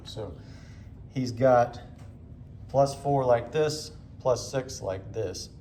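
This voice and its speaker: Somewhat breathy and dark, mellow in tone, a man speaks with ordinary pitch variation amid audible room echo. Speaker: ophthalmology teacher. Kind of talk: lecture demonstration.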